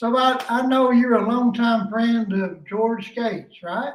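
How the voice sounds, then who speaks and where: Speaking at a very slow pace with a Southern US accent, a man uses an extremely high pitch and fairly even intonation. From East Tennessee. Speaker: podcast host. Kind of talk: phone interview.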